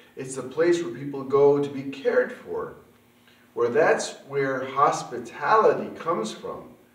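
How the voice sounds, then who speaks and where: Talking at a fairly slow pace, a man is heard with audible room echo. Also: ordinary pitch variation. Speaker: puppet ministry host. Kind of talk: children's ministry lesson talk. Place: home room.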